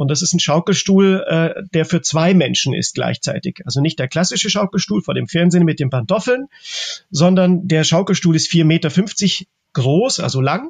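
A man talks at a moderate pace in a high voice. His pitch varies in an ordinary way. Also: dry, close sound with no echo. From Germany (Czech-born, raised in Germany since the 80s). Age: 40s. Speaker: artist. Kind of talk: interview. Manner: halting, many filler sounds.

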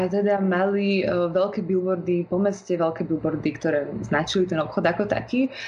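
A woman talks at a medium pitch and moderate pace, with ordinary pitch variation and hardly any pauses. Her loudness stays very even over noticeable background noise. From Slovakia, Bratislava. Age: 20s. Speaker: fashion model and law student. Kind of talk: interview.

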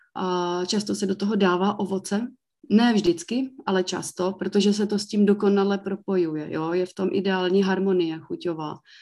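In an unremarkable speaking voice, a woman talks at a medium pitch and a moderate pace with fairly even intonation over a quiet background. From Czech Republic, South Moravia (Mikulov). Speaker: brewery owner. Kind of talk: interview.

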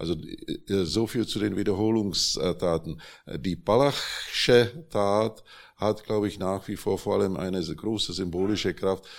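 A man with a Czech accent speaks at a very deep, low pitch with ordinary pitch variation. The recording is very clean, with a silent background. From Czechoslovakia (Prague). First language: Czech (speaking German). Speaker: journalist and publisher. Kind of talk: panel discussion. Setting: stage with audience.

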